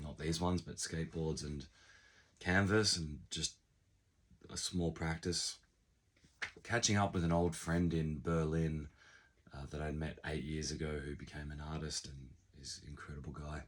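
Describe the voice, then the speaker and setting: With long, frequent pauses, a man speaks in a very deep, low voice. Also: big swings in loudness. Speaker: business owner and vlogger. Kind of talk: casual vlog monologue.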